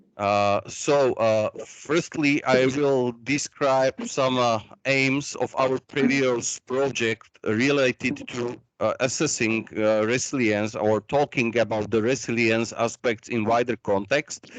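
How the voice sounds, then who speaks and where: Speaking at a very slow pace, a man uses a medium pitch and fairly even intonation, recorded with a dry, close sound and no echo. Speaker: researcher presenting at a workshop. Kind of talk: conference presentation. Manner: hesitant, many fillers.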